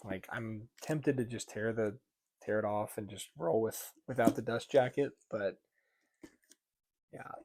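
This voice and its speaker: A quiet man's medium-pitched voice at a fairly slow pace, with long, frequent pauses and big swings in loudness. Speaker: book reviewer. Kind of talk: casual book haul vlog. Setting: at home at night. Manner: monotone.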